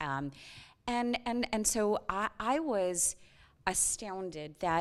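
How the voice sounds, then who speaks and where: A woman with an American accent speaks with very wide pitch swings in a very clean recording with a silent background. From United States. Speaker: whistleblower, former banker. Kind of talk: panel interview. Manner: animated.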